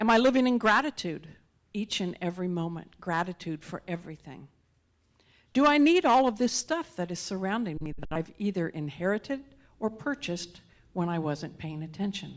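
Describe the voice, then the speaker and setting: Against a quiet background, an ordinary speaking voice moves at a moderate pace with lively intonation. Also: woman, medium pitch for a woman. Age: 60s. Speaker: guest speaker. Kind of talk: sermon.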